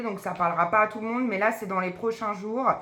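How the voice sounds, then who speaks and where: The pitch varies in an ordinary way as room echo can be heard around the voice. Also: woman. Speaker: psychic medium doing card readings. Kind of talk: tarot card reading video.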